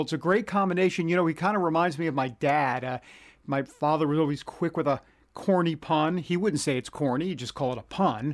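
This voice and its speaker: A man talks very fast in a New York accent, his pitch fairly high with ordinary variation. The recording is very clean, with a silent background. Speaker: podcast host. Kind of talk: casual podcast monologue. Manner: chatty, self-deprecating.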